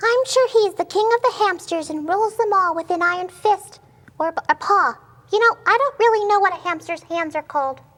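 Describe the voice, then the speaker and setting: A put-on character voice, squeaky and extremely high in pitch, moves along at a moderate pace. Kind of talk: comic overacting. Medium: comedy sketch. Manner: whimsical, offbeat.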